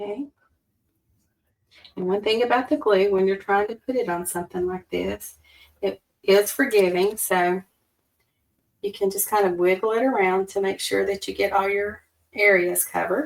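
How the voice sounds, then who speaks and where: A woman with a Southern accent, medium pitch and a fairly slow pace. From US South, Alabama. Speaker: card-making crafter. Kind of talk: tutorial. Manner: casual, chatty.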